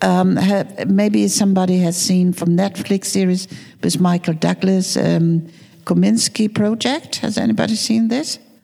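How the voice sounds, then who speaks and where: With noticeable background noise, a woman talks at a fairly slow pace and medium pitch. Her loudness is very even and her pitch variation ordinary. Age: 70s. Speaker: film producer and screenwriter. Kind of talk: panel discussion. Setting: stage with audience.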